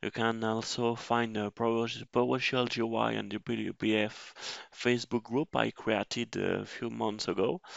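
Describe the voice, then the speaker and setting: A man with a non-native accent, medium in pitch, with fairly even intonation. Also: moderate pace. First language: French. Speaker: system engineer, tech tutor. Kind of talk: tutorial. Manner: halting, many fillers.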